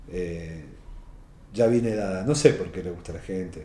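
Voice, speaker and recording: A man talks at a moderate pace with an Argentine accent. His very deep, low voice carries an audible room echo. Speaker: novelist. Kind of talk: interview.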